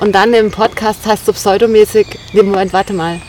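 Amid noticeable background noise, a woman speaks at a moderate pace with fairly even intonation and a medium pitch. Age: 30s. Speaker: podcast co-host. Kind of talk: casual chat. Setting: outdoors by a river.

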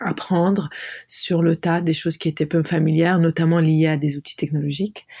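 Dry and close with no echo, a woman's fairly low voice has a dark, mellow tone. Her intonation is monotone and flat. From Lebanon. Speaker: artist and designer. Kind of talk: interview. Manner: halting.

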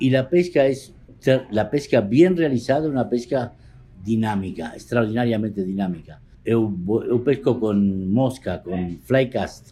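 A man's medium-pitched voice with a dark, mellow tone, lively intonation and a fairly slow pace. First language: Spanish (speaking Portuguese). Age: 60s. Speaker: poker photographer. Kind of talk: interview.

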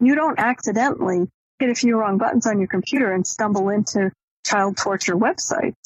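Somewhat breathy, with an American accent, a woman talks at a fairly quick pace and fairly high pitch, keeping very even loudness and ordinary pitch variation. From Maine, US. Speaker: academic and author. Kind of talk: interview.

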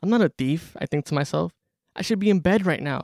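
The recording is dry and close with no echo, as a man with an American accent talks at a fairly quick pace in a plain, everyday voice with ordinary pitch variation. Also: very clean recording, silent background. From Corona, Queens, New York. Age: 20s. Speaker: student writer. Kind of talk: reading aloud.

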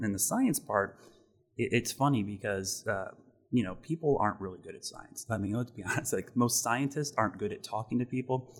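A somewhat breathy male voice at medium pitch, fairly quick in pace, with ordinary pitch variation and big swings in loudness. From Ohio, US Midwest. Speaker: TV meteorologist. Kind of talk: interview. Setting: studio.

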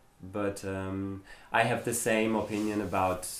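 A flat, monotone delivery at a very slow pace, with audible room echo. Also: man. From Germany. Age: 30s. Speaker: club president and translator. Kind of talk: casual interview. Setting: home living room.

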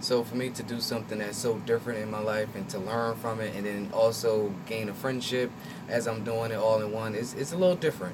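Speaking with an American accent, a man at medium pitch talks at a fairly quick pace with fairly even intonation, amid noticeable background noise and audible room echo. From Trenton, New Jersey. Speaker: actor and visual artist. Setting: radio studio. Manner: reserved.

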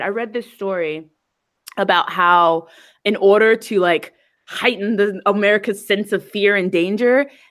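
An ordinary speaking voice at a fairly slow pace. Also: woman. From New Jersey, US. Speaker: podcast co-host. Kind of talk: casual chat.

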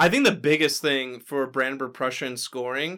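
A man with an ordinary speaking voice talks at a moderate pace, medium in pitch with ordinary pitch variation. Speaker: board game podcast co-host. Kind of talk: casual chat.

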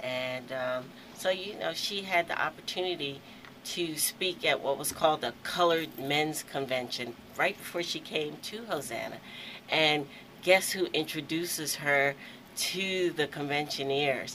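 The speech moves at a fairly slow pace with ordinary pitch variation, against noticeable background noise. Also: woman, very deep, low pitch for a woman. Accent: American. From Aberdeen, Maryland (US Mid-Atlantic). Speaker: museum executive director. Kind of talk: radio interview.

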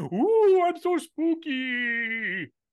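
In a put-on character voice, a woman speaks at a high pitch with very wide pitch swings. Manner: spooky, playful.

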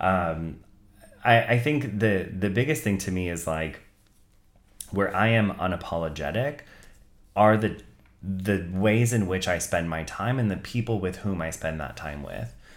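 Very deep, low male voice at a fairly slow pace, lively intonation, long and frequent pauses, and audible room echo. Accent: Californian. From US West Coast, Bay Area (Santa Clara). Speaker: content writing team lead in tech. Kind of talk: casual chat.

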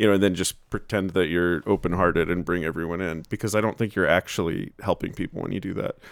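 Ordinary pitch variation marks this man's speech in an American accent. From New Jersey. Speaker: podcast host. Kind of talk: casual interview chat.

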